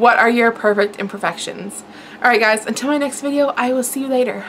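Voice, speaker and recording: With light background noise, a woman talks at a very fast pace in a high pitch with ordinary pitch variation. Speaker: beauty vlogger. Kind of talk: casual vlog chat. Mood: cheerful, then playfully exasperated. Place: kitchen. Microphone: camera far.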